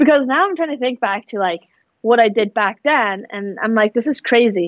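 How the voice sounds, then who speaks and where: At a fairly quick pace, a woman with an American accent speaks in a fairly high pitch with ordinary pitch variation, the sound dry and close with no echo. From US West Coast (San Francisco Bay Area, Fremont). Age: 20s. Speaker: entrepreneur. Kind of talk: casual interview.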